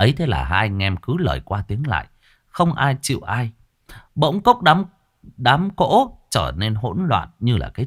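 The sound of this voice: Against a quiet background, the voice reads aloud in an unforced way.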